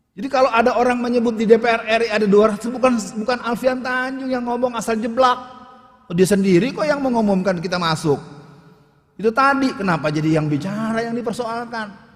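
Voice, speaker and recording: Noticeable background noise accompanies a man talking at a very fast pace. His pitch is extremely high, with ordinary variation. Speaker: Islamic preacher / ustadz. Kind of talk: public lecture / speech on politics.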